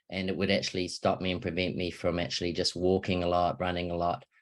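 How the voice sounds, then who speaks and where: A man speaks with a New Zealand accent in a very deep, low voice. The background is quiet. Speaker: wellness product presenter. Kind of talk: sales pitch. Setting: online video presentation. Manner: casual, hesitant with fillers.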